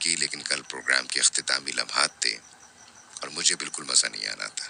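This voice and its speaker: A man's voice with noticeable background noise. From Pakistan. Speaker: radio presenter. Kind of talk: radio show talk. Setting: studio.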